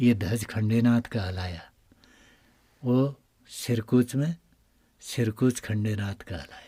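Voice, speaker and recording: Pausing long and often, a man with a medium pitch and ordinary pitch variation speaks in a dark, mellow, somewhat breathy tone. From Uttarakhand, India. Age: 60s. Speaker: temple priest. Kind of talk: interview. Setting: inside a cave shrine.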